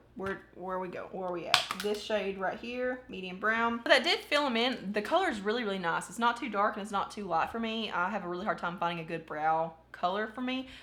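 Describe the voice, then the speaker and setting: The pace is fairly quick with hardly any pauses and lively intonation. Noticeable background noise runs underneath. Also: woman, medium pitch for a woman. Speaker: beauty YouTuber. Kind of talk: makeup tutorial try-on haul. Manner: casual, chatty with filler words; words run together.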